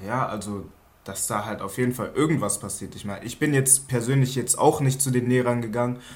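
A plain, everyday voice moves at a fairly quick pace. Its pitch varies in an ordinary way. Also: man, medium pitch for a man. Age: 20s. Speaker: trainee industrial clerk. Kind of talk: casual chat.

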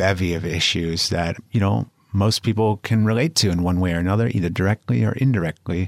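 With a Californian accent, a man speaks at a fairly low pitch with ordinary pitch variation, the sound dry and close with no echo. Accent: American, Californian. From Los Angeles, California. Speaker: podcast co-host, CBD company owner. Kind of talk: casual chat.

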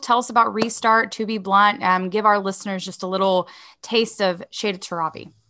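In an American accent, the voice has a bright, sharp tone and moves at a fairly quick pace. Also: woman. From East Texas. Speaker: podcast host, advocacy director. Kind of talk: interview.

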